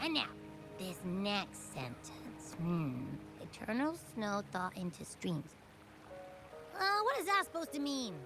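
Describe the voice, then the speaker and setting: A woman speaks in a put-on character voice at a fairly slow pace, with long, frequent pauses and clear music playing in the background. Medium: video game. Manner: casual, chatty.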